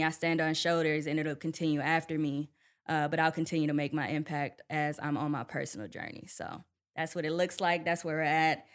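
A woman with an American accent, a very deep, low pitch and monotone, flat intonation, at a fairly quick pace on a very clean recording with a silent background. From Milwaukee, Wisconsin. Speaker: lawyer and nonprofit director. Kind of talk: interview. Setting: studio.

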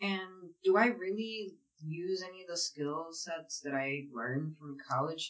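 Speaking fairly slowly with big swings in loudness, a woman with a Philadelphia accent has a fairly low pitch. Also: ordinary pitch variation. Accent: Philadelphia American English. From US Northeast, West Philadelphia. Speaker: paralegal. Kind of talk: casual interview.

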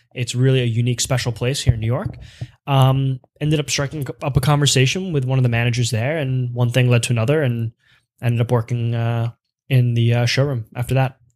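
Speaking at a fairly quick pace with an American accent, a man has an ordinary speaking voice, a medium pitch and fairly even intonation. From Pennsylvania (Lancaster). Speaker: menswear sales director. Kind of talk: casual interview.

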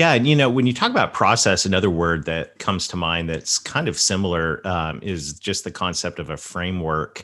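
Over a quiet background, a man with a Southern US accent speaks at a moderate pace, his very deep, low voice carrying a bright, sharp tone. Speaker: podcast host. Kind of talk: interview conversation.

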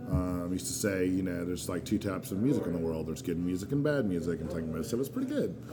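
Talking at a very fast pace with hardly any pauses, this speaker has lively intonation and an American accent, with music playing in the background. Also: man, very deep, low pitch for a man. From North Carolina (Asheville). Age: 40s. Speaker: beer sales rep. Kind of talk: casual chat. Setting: live recording at a bottle shop.

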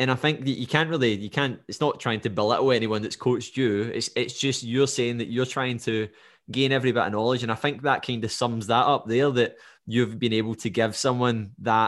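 A man speaks with a Scottish accent against a quiet background. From Scotland. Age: 20s. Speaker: podcast host and fitness coach. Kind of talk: casual interview.

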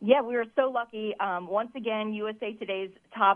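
A woman's unremarkable speaking voice with ordinary pitch variation. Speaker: minor league baseball team staff member. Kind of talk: friendly radio interview.

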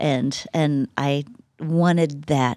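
With a Texas accent, a woman speaks in a very deep, low pitch and a dark, mellow tone, her intonation fairly even, on a very clean recording with a silent background and a dry, close sound with no echo. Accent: Texas Southern. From West Texas. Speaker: church communications staff member. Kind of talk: casual chat.

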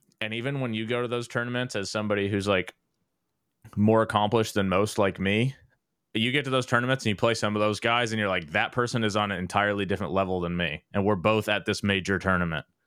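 A man with a fairly low pitch and ordinary pitch variation talks very fast. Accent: American. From Texas, Dallas. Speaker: esports general manager and former pro gamer. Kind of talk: casual chat.

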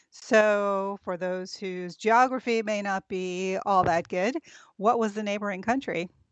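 Fairly slow and fairly even in intonation, a woman talks at medium pitch in an unremarkable speaking voice. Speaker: podcast host. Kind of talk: interview.

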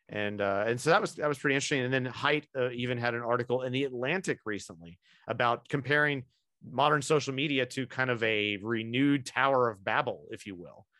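The voice is bright and sharp, with ordinary pitch variation, and it moves at a very fast pace. The background is quiet. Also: man, medium pitch for a man. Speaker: podcast host. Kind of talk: casual roundtable discussion.

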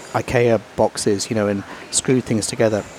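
There is noticeable background noise behind this man speaking. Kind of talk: casual interview. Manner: humorous.

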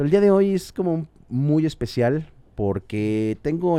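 Against a quiet background, a man with a dark, mellow tone speaks very slowly with lively intonation. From Mexico. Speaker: podcast host. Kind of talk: casual interview. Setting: studio.

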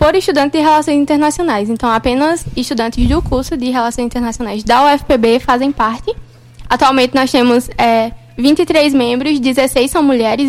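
Noticeable background noise sits behind a woman's high voice. She talks at a moderate pace with ordinary pitch variation. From sertão of Pernambuco, Brazil. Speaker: university student, junior company member. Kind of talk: radio interview.

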